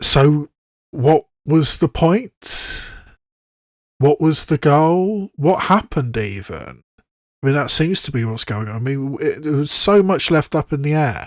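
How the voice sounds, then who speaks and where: Fairly high-pitched man in a British accent, fairly slow pace, lively intonation, dry, close sound with no echo. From southwest England, Bath. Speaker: YouTube reaction video creator. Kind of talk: casual commentary to camera. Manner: halting, with frequent restarts.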